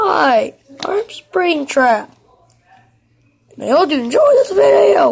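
Using a put-on character voice with a high pitch, the speaker goes at a very slow pace with long, frequent pauses. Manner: creepy, playful.

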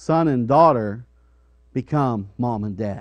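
Male speaker, quiet surroundings. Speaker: preacher. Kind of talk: sermon. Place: church.

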